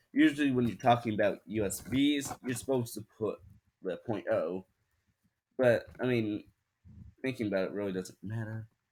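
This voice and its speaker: At a moderate pace and medium pitch, a man talks with ordinary pitch variation and long, frequent pauses. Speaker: tech video creator. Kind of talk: tutorial. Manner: halting.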